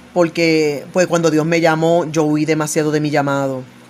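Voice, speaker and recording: Against noticeable background noise, a woman with a very deep, low pitch talks at a fairly slow pace in fairly even intonation. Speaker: evangelical preacher. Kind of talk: religious commentary monologue. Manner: loud; authoritative.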